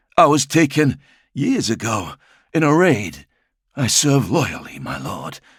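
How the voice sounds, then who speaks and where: Putting on a raspy character voice, a man speaks at a fairly slow pace with lively intonation and long, frequent pauses. The recording is very clean, with a silent background. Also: fairly high pitch for a man. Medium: read story. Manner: timid, respectful.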